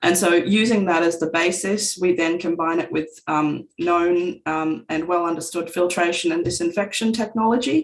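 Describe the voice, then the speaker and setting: A woman with an Australian accent talks at a moderate pace in a fairly low pitch, with hardly any pauses. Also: ordinary pitch variation. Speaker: company representative presenting technology. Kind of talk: webinar presentation.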